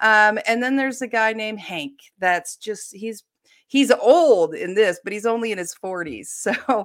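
With an American accent, a woman in an ordinary speaking voice talks at a fairly high pitch with ordinary pitch variation on a very clean recording with a silent background. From Ohio, US. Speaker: mystery novelist. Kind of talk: casual interview.

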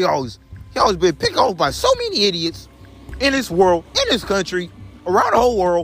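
With an American accent, a man speaks at a fairly quick pace over noticeable background noise. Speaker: vlogger. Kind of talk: casual monologue to followers. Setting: outdoors while walking. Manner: repetitive, rambling.

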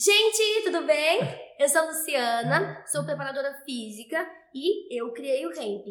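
A woman speaks in a high voice. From Brazil, interior of Goiás. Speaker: fitness trainer, dance fitness program creator. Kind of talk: casual interview. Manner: animated.

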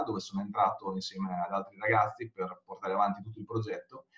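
Noticeable background noise sits under words delivered at a fairly quick clip. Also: man. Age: 40s. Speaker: conversion rate optimization consultant. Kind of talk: interview.

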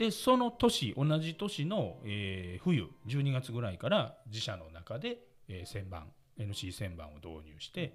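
In a Kansai accent, a man speaks at a very slow pace at a medium pitch, somewhat breathy, with very wide pitch swings and big swings in loudness. The recording is very clean, with a silent background. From Osaka, Japan. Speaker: company president and podcast host. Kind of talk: seminar-style presentation.

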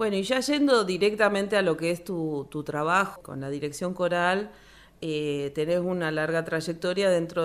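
A plain, everyday voice from a woman, fairly low in pitch, at a moderate pace with ordinary pitch variation. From Argentina, Río Gallegos (Santa Cruz). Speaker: radio host. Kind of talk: radio interview.

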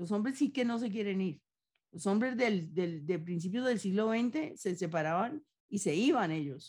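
Her voice at a medium pitch, a woman talks at a moderate pace with very wide pitch swings, sounding somewhat breathy. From Colombia, Antioquia. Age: 70s. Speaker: novelist and poet. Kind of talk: interview.

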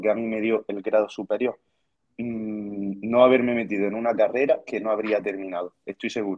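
A man speaks with a fairly low pitch and monotone, flat intonation. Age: 20s. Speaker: dietitian and fitness student. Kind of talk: casual chat.

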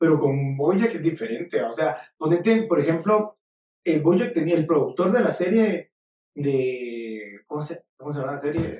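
The pace is fairly slow. A dark, mellow tone carries lively intonation. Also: man, fairly high pitch for a man. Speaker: podcast guest, photographer. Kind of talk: casual chat. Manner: halting, repeats words.

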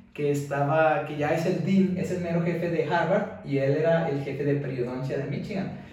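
A man speaks at a moderate pace with ordinary pitch variation. Noticeable background noise and audible room echo fill the recording. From Mexico. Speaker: dentist, dental student. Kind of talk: casual interview chat.

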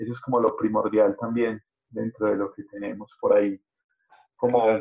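A man speaking at a moderate pace. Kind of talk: casual interview.

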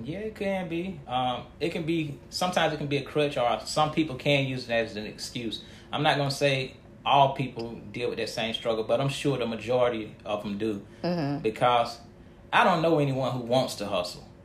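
Somewhat breathy and fairly high-pitched, a man with an American accent speaks at a moderate pace with ordinary pitch variation, and audible room echo surrounds him. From Montgomery County, North Carolina. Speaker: nonprofit founder, former inmate. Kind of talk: interview.

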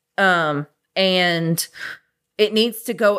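A woman with a Southern US accent, medium-pitched and animated in tone, in a very clean recording with a silent background. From Clarksville, Tennessee. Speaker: podcast host. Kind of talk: casual chat. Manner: loud, animated.

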